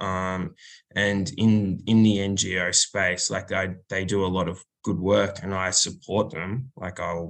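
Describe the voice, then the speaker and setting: Very deep and low in pitch, a man with an Australian accent speaks with fairly even intonation. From rural Australia. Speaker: musician, bass player and singer. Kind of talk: casual interview.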